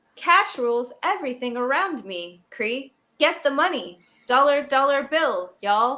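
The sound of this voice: A woman's put-on character voice, high-pitched and robotic, at a moderate pace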